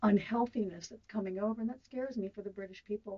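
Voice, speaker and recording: A woman talks in a normal speaking voice with an American accent, at medium pitch. Her pace is fairly quick and her intonation fairly even. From US, Southern California. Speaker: interviewee on a weight-loss topic. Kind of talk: radio interview.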